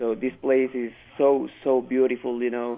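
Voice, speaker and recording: Pitched at a medium level, a man talks with a Spanish accent. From Mexico City, Mexico. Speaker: ESL student. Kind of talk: radio interview. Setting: phone call.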